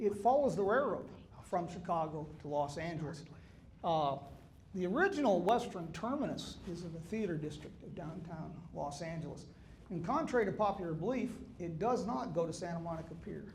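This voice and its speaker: Lively intonation and big swings in loudness mark this fairly quick delivery. Audible room echo is present. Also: man, high pitch for a man. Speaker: author and historian speaker. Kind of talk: public talk. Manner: conversational with humor.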